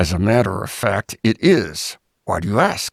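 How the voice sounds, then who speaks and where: A man's put-on character voice, fairly low in pitch, with lively intonation. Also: dry, close sound with no echo. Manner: through gritted teeth, clipped and tense.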